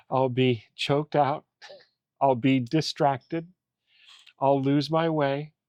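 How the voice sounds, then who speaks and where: A man with a fairly high pitch speaks at a very slow pace in a monotone, flat intonation, leaving long, frequent pauses, in a dry, close sound with no echo. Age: 60s. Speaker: coach and mentor. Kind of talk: faith-based interview conversation.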